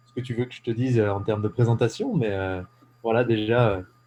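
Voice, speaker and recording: A man speaks at a fairly quick pace with a dark, mellow tone and medium pitch. His voice is somewhat breathy, with monotone, flat intonation. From eastern France (Ain, Jura mountains). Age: 20s. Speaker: entrepreneur. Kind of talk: casual interview. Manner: hesitant, many fillers.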